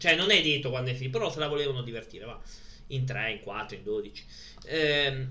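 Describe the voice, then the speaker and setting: The clip carries audible room echo and noticeable background noise. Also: man. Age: 30s. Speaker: streamer presenting his DVD collection. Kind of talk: casual live stream chat. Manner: halting.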